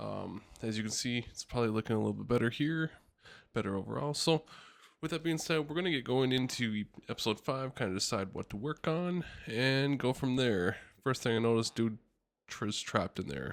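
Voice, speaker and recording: Soft-spoken, a man talks at a fairly quick pace on a very clean recording with a silent background. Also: medium pitch for a man, ordinary pitch variation. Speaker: gaming video creator. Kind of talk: gameplay commentary. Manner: even, calm pace.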